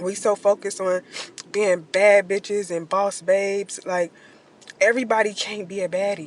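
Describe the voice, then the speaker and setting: The intonation stays monotone and flat, with noticeable background noise behind the voice. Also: woman, medium pitch for a woman, moderate pace. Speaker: social media creator. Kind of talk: casual vlog monologue. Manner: conversational, with filler words.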